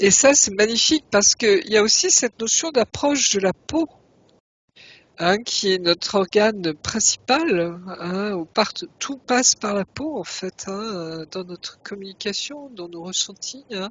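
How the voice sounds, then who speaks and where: A woman speaks at a medium pitch at a fairly slow pace, with lively intonation. She has an unremarkable speaking voice. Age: 60s. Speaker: regressive hypnosis practitioner. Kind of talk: casual chat.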